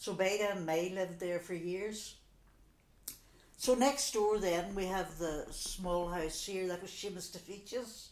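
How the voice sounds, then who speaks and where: A woman in a Donegal accent, medium in pitch, fairly slow and fairly even in intonation, with audible room echo. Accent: Donegal Irish. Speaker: local resident sharing memories. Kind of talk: oral history interview. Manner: conversational, many fillers.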